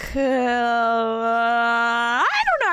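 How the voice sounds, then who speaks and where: A woman speaks with music in the background. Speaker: VTuber streamer. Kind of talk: casual live-stream talk to chat, reading and reacting to viewer comments. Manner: rambling, chatty, self-deprecating.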